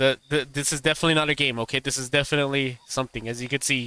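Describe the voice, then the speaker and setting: This man's voice sits fairly high and has a bright, sharp tone. His intonation stays fairly even, and the sound is dry and close with no echo. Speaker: gaming streamer. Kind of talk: live game commentary with reading aloud. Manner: stammering, repeats words.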